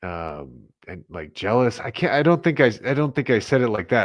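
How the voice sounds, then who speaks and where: A man's voice with vocal fry, very wide pitch swings and a fairly quick pace. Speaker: live stream co-host. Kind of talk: casual chat. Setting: live stream. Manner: halting, many restarts.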